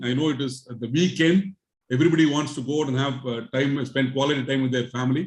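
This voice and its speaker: A man's somewhat breathy voice at a very fast pace. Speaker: chartered accountant, speaker. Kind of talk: lecture.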